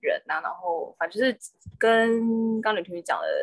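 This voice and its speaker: Spoken at a moderate pace, the voice stays monotone and flat, with a dry, close sound and no echo. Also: woman. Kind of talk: casual chat.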